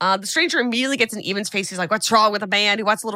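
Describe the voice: Text is read out. It is plain reading aloud.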